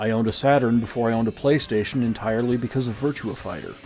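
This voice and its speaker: There is music in the background as a man talks at a fairly quick pace. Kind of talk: video essay commentary.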